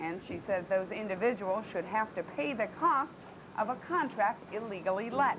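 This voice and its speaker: A woman speaks at a moderate pace in a fairly high voice with lively intonation. Noticeable background noise runs underneath. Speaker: television news anchor. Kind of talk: local TV newscast anchor read. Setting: 1985 broadcast television recording, Betamax tape.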